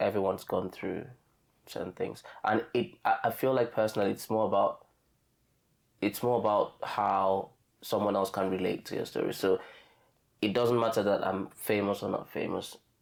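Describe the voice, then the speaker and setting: Long, frequent pauses break up a man's moderate pace. He speaks with a Nigerian accent and fairly even intonation. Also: fairly low pitch for a man. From Nigeria, southern Efik region. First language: Efik. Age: 30s. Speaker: podcast guest sharing testimony. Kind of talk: casual chat. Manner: halting.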